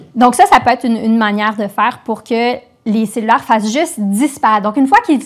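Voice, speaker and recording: Woman's fairly high voice at a fairly quick pace, with ordinary pitch variation. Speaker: philosophy teacher. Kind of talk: interview. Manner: halting.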